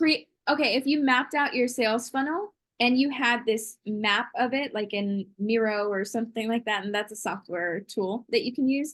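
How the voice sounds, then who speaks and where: A woman with an ordinary speaking voice, fairly high in pitch, ordinary pitch variation and a moderate pace, against a quiet background. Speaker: online business systems expert. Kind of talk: casual interview.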